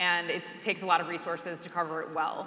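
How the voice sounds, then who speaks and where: The speech moves at a fairly quick pace. Behind it sits noticeable background noise. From Chicago, southwest side. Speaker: journalist. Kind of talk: panel discussion.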